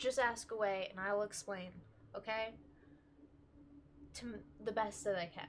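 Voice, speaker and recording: The woman speaks at a moderate pace with a fairly high pitch and ordinary pitch variation. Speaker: tarot reader. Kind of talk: tarot reading. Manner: casual, filler-heavy.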